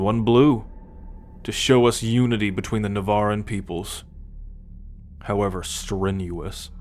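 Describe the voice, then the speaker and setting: Over clear background noise, a man puts on a gruff character voice and speaks at a fairly slow pace. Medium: audio drama. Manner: cocky, gruff.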